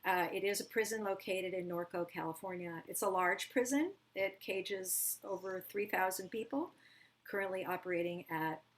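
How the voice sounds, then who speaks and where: An unremarkable speaking voice from a woman, medium in pitch, moderate in pace, with fairly even intonation. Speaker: choreographer and dance educator. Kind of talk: panel presentation.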